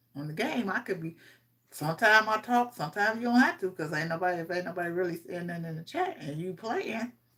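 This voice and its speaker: Bright and sharp in tone, a woman at medium pitch talks at a fairly quick pace with lively intonation. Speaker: streamer. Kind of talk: casual chat. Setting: livestream.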